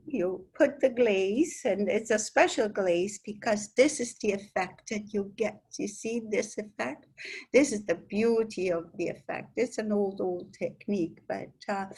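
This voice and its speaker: The somewhat breathy voice moves at a fairly slow pace with ordinary pitch variation. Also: woman. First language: Italian. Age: old. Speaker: sculptor. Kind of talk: interview. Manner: halting, with many fillers and repetitions.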